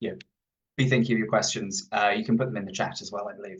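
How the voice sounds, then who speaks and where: A man is speaking with an American accent. His pitch varies an ordinary amount. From Isle of Man. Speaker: historian and author. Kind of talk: book talk. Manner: hesitant, many fillers.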